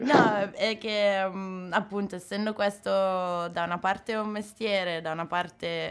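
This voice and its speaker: Her intonation fairly even and her pitch medium, a woman talks at a very slow pace. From Milan outskirts, northern Italy. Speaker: tattoo artist. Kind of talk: interview.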